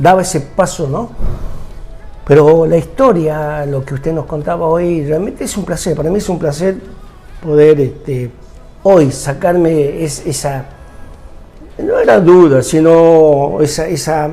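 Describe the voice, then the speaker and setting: Music plays in the background and the room echo is audible as a man speaks at a fairly high pitch. His pace is fairly slow, with long, frequent pauses and ordinary pitch variation. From Argentina, Tucumán. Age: 60s. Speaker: TV show host. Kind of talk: interview.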